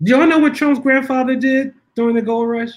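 This man has an American accent. He talks at a moderate pace. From US Northeast, North Philadelphia. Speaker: filmmaker and keynote speaker. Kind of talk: interview.

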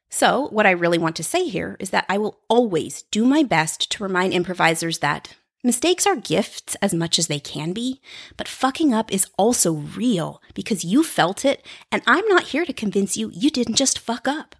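At a moderate pace and medium pitch, a woman speaks with very wide pitch swings, recorded dry and close with no echo in a very clean recording with a silent background. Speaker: podcast host and improviser. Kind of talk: solo monologue podcast. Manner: peppy, friendly; animated.

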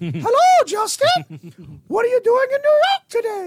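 An extremely high-pitched, put-on character voice. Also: fairly slow pace. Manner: cheerful, friendly.

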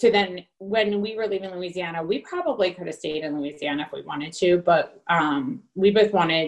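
A woman speaks in a plain, everyday voice with an American accent. Her pace is moderate and her pitch variation ordinary. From New Jersey. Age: 30s. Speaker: nurse and military spouse. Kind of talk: interview.

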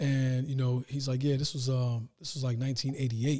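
A man's fairly high, somewhat breathy, dark and mellow voice at a very fast pace, with fairly even intonation. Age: 30s. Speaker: entrepreneur. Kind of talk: casual chat.

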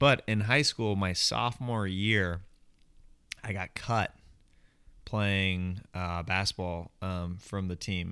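A bright, sharp tone with an American accent, on a very clean recording with a silent background. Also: man. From Kansas, Overland Park. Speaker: stand-up comedian. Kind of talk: casual chat.

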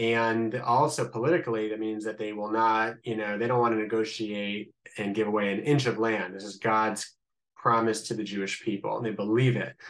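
This man speaks with a slight Midwestern accent at a medium pitch. His pace is fairly quick and his intonation fairly even. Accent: slight Midwestern American. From US Midwest, Columbus, Ohio. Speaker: rabbi. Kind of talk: interview, explaining politics.

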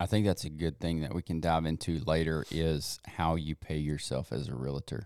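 A man's very deep, low voice at a moderate pace, dry and close with no echo. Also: ordinary pitch variation. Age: 40s. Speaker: podcast host. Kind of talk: casual chat.

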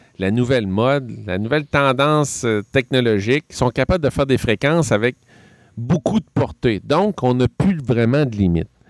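A man with a Quebec accent at medium pitch, lively intonation, and a moderate pace, in a very clean recording with a silent background and a dry, close sound with no echo. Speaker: hobby shop employee. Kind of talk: casual chat.

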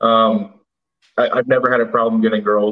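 A man with a Midwestern US accent speaks at a fairly quick pace. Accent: US Midwest. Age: 20s. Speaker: caller, tractor salesman. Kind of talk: call-in conversation.

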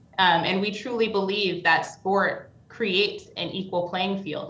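A woman with an American accent and fairly even intonation, with audible room echo. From New York. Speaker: business executive. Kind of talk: interview.

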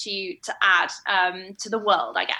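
A woman speaks in a bright, sharp tone. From northern England. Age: 20s. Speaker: coaching client. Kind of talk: casual interview chat. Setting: video call. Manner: hesitant, filler-heavy.

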